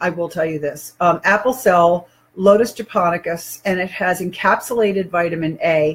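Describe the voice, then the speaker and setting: A woman speaks at a moderate pace in a somewhat breathy voice of fairly low pitch. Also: ordinary pitch variation. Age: 60s. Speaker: online health and wellness presenter. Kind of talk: product demonstration video. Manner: casual, conversational with fillers.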